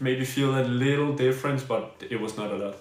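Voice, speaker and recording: A man with a Danish accent speaks in a space with audible room echo. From Denmark. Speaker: badminton player and streamer. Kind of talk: live stream gear review and Q&A. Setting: live stream. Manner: halting, many fillers and restarts.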